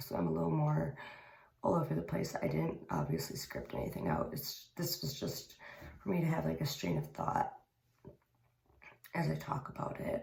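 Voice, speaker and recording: A man does a put-on character voice that is quiet, raspy and very deep in pitch. He keeps a moderate pace with long, frequent pauses. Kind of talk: unscripted, rambling, stream of thought. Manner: speaking quietly.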